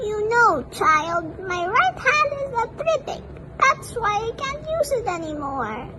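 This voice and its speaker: Over loud background noise, a woman does a put-on character voice that is squeaky and extremely high-pitched. Her tone is gentle and warm, and her pace is fairly slow. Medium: read story. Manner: gentle, warm.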